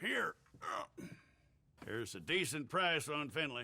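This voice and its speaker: Doing a put-on character voice, a man speaks fairly slowly in a raspy, fairly high pitch. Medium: video game. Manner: gruff, sardonic.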